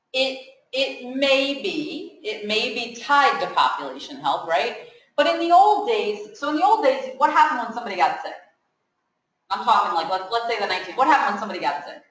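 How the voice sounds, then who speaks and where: A woman with a high voice talks at a fairly quick pace, her pitch swinging very widely and her loudness rising and falling sharply, with audible room echo. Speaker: pharmacist speaker at student seminar. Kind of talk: informal talk to students. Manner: conversational, asks audience questions.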